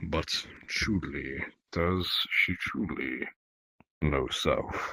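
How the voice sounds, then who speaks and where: A man puts on a character voice, very deep and low in pitch, and talks at a very slow pace. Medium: machinima. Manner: formal, halting, avoids contractions.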